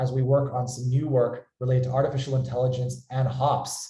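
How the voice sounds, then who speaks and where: A somewhat breathy man with an American accent and a dark, mellow tone, amid audible room echo. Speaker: company founder and webinar host. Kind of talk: webinar presentation.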